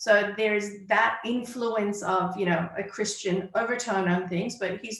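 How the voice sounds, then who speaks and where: A woman with an American accent at a fairly high pitch and fairly slow pace, with audible room echo. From United States (Iranian-born). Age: 40s. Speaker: clarity coach. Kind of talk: interview.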